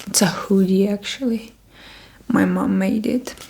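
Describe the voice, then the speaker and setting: A soft-spoken voice comes through noticeable background noise. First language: Russian. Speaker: ASMR creator. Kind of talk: ASMR haul, soft spoken. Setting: at home, block of flats.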